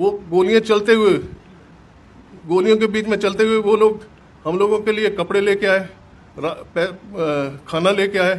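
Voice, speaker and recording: Pausing long and often, a man speaks at a high pitch with fairly even intonation. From Pakistani Punjab, Jhelum district. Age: 80s+. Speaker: partition survivor and businessman. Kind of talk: testimony. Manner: halting.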